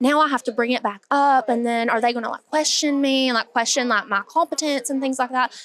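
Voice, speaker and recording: A woman with an Appalachian accent talks in a high voice at a fairly quick pace, with fairly even intonation and hardly any pauses. The sound is dry and close, with no echo. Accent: Appalachian Southern US. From Hazard, Kentucky, Appalachia. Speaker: dentist. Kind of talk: podcast interview answer.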